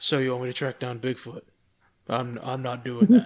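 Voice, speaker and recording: In a put-on character voice, a man with a medium pitch speaks at a moderate pace in a serious tone, with big swings in loudness. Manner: serious, flat.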